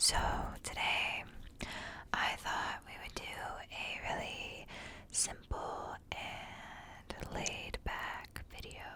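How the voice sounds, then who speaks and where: The speech is whispered very slowly. Background noise is noticeable. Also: woman. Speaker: ASMR creator. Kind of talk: ASMR whispered book reading and rambling. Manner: whispered, soft-spoken.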